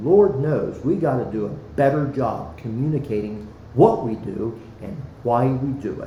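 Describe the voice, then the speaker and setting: Amid noticeable background noise and audible room echo, a man with an American accent speaks fairly slowly with lively intonation and big swings in loudness. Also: medium pitch for a man. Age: 60s. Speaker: former city councilman, school board candidate. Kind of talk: podcast interview. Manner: passionate, earnest.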